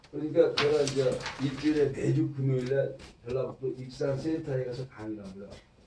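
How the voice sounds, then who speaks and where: A man at a medium pitch with ordinary pitch variation and a fairly quick pace, amid audible room echo and noticeable background noise. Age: 60s. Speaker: network marketing presenter, former pro billiards player. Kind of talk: business presentation.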